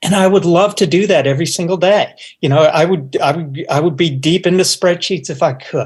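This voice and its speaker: The speaker has an American accent and a fairly quick pace. Pitch variation is ordinary. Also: man, high pitch for a man. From Upstate New York. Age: 60s. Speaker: business executive. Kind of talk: interview. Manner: halting.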